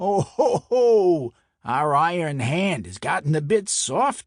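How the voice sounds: A man's put-on character voice in a Brooklyn accent, fairly high in pitch with big pitch swings, slow in pace, on a very clean recording with a silent background.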